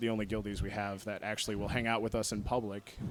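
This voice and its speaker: This is a man speaking. His pitch is fairly low. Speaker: podcaster. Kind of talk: convention panel talk. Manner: loud.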